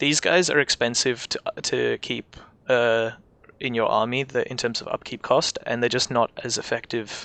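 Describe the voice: This man talks at a fairly quick clip in a medium pitch, with vocal fry running through a bright, sharp tone.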